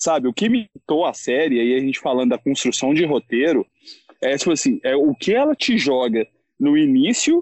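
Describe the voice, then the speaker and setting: His voice moves through very wide pitch swings as this man speaks. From Belo Horizonte, Brazil. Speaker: sneaker enthusiast content creator. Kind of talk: casual chat. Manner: animated.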